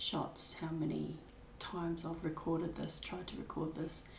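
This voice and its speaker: Audible room echo surrounds a woman's voice. She speaks with a New Zealand accent at a moderate pace. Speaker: spiritual vlogger sharing her life story. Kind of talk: personal testimony. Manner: hesitant, many filler words.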